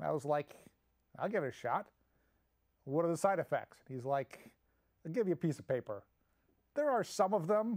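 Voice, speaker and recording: Against a quiet background, a man with a high pitch speaks at a moderate pace with lively intonation and long, frequent pauses. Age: 50s. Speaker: comedic monologue host. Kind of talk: casual comedic monologue. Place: studio.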